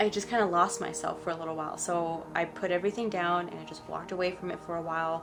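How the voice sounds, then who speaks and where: A woman speaks at a very fast pace with hardly any pauses. There is noticeable background noise. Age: 20s. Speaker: spiritual vlogger. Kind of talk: story time monologue. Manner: halting.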